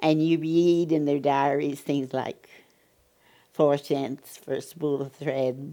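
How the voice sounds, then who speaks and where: A woman with an American accent speaks at a very slow pace with a very deep, low pitch. Her tone is dark and mellow, her intonation monotone and flat. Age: 90s. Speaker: oral history narrator. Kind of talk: oral history interview. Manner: halting.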